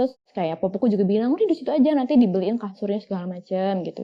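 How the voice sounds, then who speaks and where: This woman speaks very fast. The pitch of her voice swings over a very wide range. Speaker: guest sharing ghost experiences. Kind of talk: casual storytelling chat. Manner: halting with many fillers.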